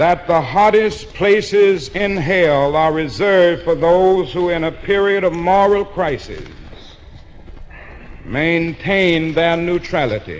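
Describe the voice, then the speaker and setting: Over noticeable background noise, a man talks at a very slow pace with a high pitch. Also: ordinary pitch variation. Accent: American. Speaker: preacher. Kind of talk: sermon.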